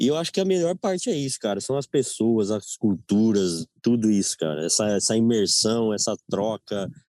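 At a moderate pace and with hardly any pauses, a man speaks in a dark, mellow tone of medium pitch with very wide pitch swings, recorded very cleanly over a silent background with a dry, close sound and no echo. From Brazil, São Paulo state interior. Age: 30s. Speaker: traveler. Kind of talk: casual chat.

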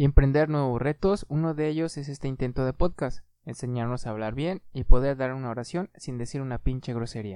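Talking at a fairly quick pace with hardly any pauses, a man has a dark, mellow tone at medium pitch. His pitch variation is ordinary, with big swings in loudness. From Mexico, Aguascalientes. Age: 30s. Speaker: podcast host. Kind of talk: casual chat.

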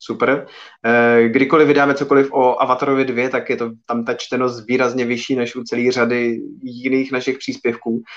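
Flat and monotone in intonation, a man talks at a moderate pace and medium pitch. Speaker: film podcast host. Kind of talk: live video podcast chat.

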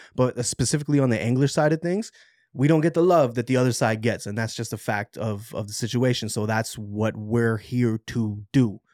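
Recorded very cleanly against a silent background, a man with an ordinary speaking voice talks at a fairly quick pace with ordinary pitch variation. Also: medium pitch for a man. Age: 30s. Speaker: podcaster and studio engineer. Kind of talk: casual chat.

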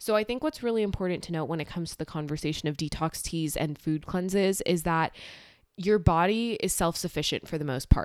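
A woman's fairly low, plain, everyday voice, fairly quick, with ordinary pitch variation, on a very clean recording with a silent background. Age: young. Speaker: podcast host. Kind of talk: solo educational talk.

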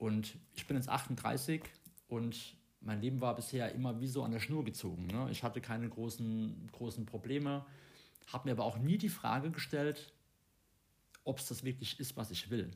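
Somewhat breathy male speech at a medium pitch and moderate pace, with ordinary pitch variation and long, frequent pauses. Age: 30s. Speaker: podcast host, coach and trainer. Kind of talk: casual chat. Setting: abroad on Koh Samui.

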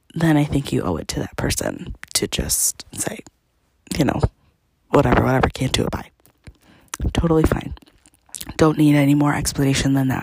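Whispering at a moderate pace, a woman speaks with long, frequent pauses. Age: 20s. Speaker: podcast host. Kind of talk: casual chat.

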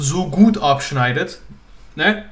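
A man speaks at a fairly high pitch with lively intonation. Audible room echo surrounds his voice. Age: 20s. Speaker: fitness podcast co-host. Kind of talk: casual chat.

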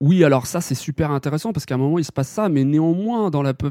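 A man speaks fairly quickly in a fairly high voice with lively intonation and a dark, mellow tone. The recording is very clean, with a silent background and a dry, close sound with no echo. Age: 30s. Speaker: manga magazine editor-in-chief. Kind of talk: interview.

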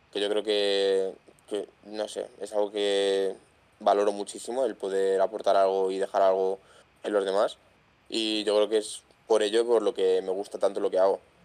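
Moderate pace and monotone, flat intonation from a man with a fairly low pitch. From Madrid, Spain. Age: 20s. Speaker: content creator with tetraplegia. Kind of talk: casual interview chat. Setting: video call.

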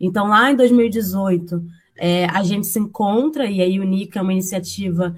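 A woman's somewhat breathy voice at a medium pitch. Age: 20s. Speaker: university student and community education coordinator. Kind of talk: interview.

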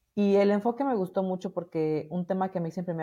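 Against a quiet background, a woman speaks fairly quickly in a dark, mellow tone with fairly even intonation. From Mexico, Morelia, Michoacán. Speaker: radio station director and women's advocate. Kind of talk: interview.

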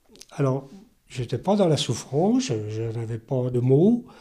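A man talks at a very slow pace, his medium-pitched voice dark, mellow and somewhat breathy, with lively intonation. The recording is very clean and the background silent. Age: 70s. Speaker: stroke survivor, retiree. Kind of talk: testimony.

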